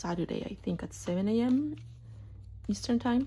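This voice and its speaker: Soft-spoken, a woman says her lines. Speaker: art vlogger. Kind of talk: casual chat. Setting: home art studio. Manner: halting.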